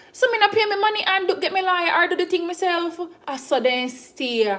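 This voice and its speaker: With a Jamaican accent, a woman speaks at an extremely high pitch and fairly quick pace, her pitch swinging very widely, with noticeable background noise behind her. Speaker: YouTuber doing a cooking livestream. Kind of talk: casual livestream chat. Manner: halting, many fillers and restarts.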